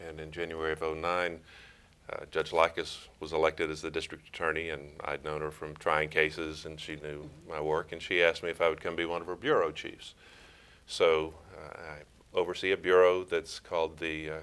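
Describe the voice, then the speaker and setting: In an East Texas accent, the speaker moves at a fairly quick pace with monotone, flat intonation and big swings in loudness. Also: man. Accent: East Texas Southern US. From East Texas, Crockett. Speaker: prosecutor and former judge. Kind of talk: interview.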